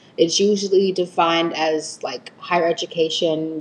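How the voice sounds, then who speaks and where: A woman with an American accent speaks in a fairly low pitch and fairly even intonation, with noticeable background noise behind her. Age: 20s. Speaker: college student podcast co-host. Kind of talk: casual chat.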